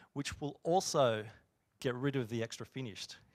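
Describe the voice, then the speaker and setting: Recorded dry and close with no echo against a silent background, a man with a medium-pitched voice talks at a fairly quick pace in an Australian accent. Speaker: software engineer. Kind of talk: conference talk. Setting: stage with audience.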